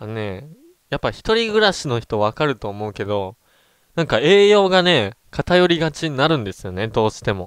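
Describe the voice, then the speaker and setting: The voice moves at a moderate pace with very wide pitch swings, recorded very cleanly against a silent background with a dry, close sound and no echo. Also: man. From Japan, Ehime. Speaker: gaming streamer. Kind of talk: casual chat. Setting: livestream.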